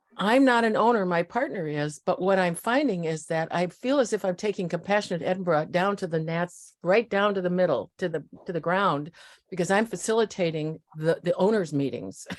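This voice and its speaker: A woman with a Midwestern accent talks at a fairly quick pace in a medium pitch, on a very clean recording with a silent background. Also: ordinary pitch variation. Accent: American Midwest. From US Midwest (Iowa and Nebraska). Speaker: community volunteer. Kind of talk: casual group video chat.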